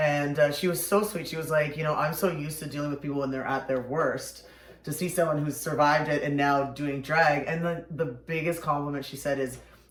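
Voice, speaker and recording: A man speaks fast with hardly any pauses, fairly high in pitch and in a flat monotone, amid noticeable background noise and audible room echo. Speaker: drag performer hosting makeup show. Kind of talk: casual chat.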